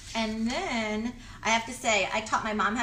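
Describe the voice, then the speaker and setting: A woman speaks over noticeable background noise, with audible echo in the room. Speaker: lifestyle DIY vlogger. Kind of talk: tutorial. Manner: fast; casual, chatty.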